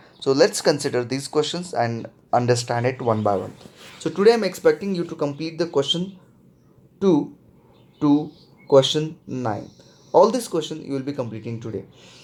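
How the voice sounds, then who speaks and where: A man with an Indian accent speaks at a moderate pace, with long, frequent pauses. His voice is fairly high and his intonation lively. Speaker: math teacher. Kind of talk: lecture.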